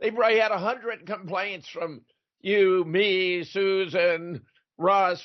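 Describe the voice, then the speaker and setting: Here a man speaks with an American accent at a fairly slow pace. His pitch is high. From Southern California. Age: 80s+. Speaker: retired philosophy professor, talk show host. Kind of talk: casual chat.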